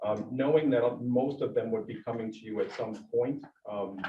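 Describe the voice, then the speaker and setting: A somewhat breathy voice at a moderate pace. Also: man. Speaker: school district administrator presenting policy updates. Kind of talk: board meeting presentation. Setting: school board meeting room. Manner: many filler words (um, uh).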